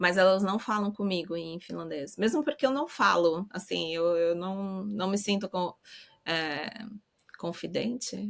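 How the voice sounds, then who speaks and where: With ordinary pitch variation, the speaker goes at a fairly slow pace. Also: woman, medium pitch for a woman. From Brazil. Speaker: academic researcher, mother abroad. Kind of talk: interview conversation. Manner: hesitant, repeats words.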